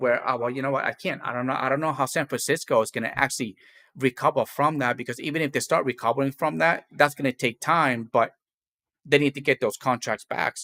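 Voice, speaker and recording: A man with a non-native accent and a fairly high pitch speaks at a moderate pace in a bright, sharp tone, in a very clean recording with a silent background. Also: dry, close sound with no echo. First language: not English. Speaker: podcast host and gig driver. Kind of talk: casual chat. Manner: halting.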